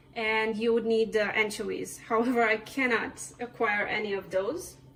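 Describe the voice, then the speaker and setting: A moderate pace and fairly even intonation over noticeable background noise. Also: woman, fairly high pitch for a woman. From Serbia. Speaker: cooking vlogger. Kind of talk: cooking tutorial.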